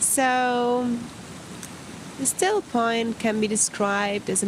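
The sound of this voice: A woman talks over clear background noise.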